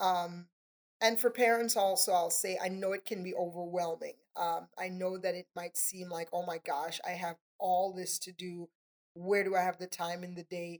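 The speaker has a slight Trinidadian accent and monotone, flat intonation. The loudness swings widely. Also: woman, medium pitch for a woman, moderate pace, dry, close sound with no echo. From Trinidad and Tobago. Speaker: nonprofit area director. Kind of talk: casual interview conversation.

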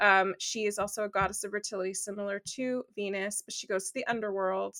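A woman talks at a fairly high pitch. The sound is dry and close with no echo, a very clean recording with a silent background. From Los Angeles, US. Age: 40s. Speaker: astrologer. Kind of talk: casual interview.

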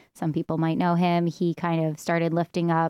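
With a New York accent, the speaker goes at a moderate pace over a quiet background, the sound dry and close with no echo. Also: woman. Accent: New York American. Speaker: stand-up comedian. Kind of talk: casual chat.

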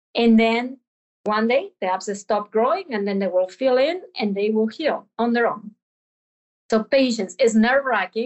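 With a Spanish accent, a woman speaks at a fairly high pitch. Her pitch variation is ordinary. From Argentina. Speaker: veterinary professor. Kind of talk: interview.

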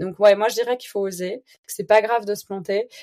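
Her dark, mellow tone pairs with fairly even intonation as this woman speaks. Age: 30s. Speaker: entrepreneur, founder of an online organic grocery. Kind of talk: casual interview conversation.

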